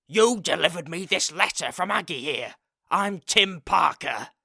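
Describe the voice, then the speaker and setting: Loud and growling, a man puts on a character voice at a high pitch, with ordinary pitch variation and a moderate pace. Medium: read story. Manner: loud, hearty, blunt.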